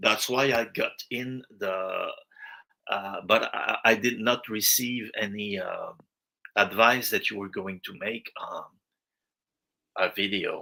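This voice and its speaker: In a French accent, a man speaks at a very slow pace. Long, frequent pauses break up his speech. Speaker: viewer joining a live stream. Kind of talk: casual chat. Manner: halting.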